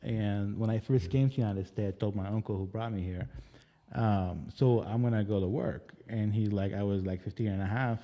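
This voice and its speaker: A man's fairly low, dark, mellow voice at a fairly quick pace, with fairly even intonation. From Lebanon. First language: Arabic. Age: 40s. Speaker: casting director. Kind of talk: interview. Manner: halting.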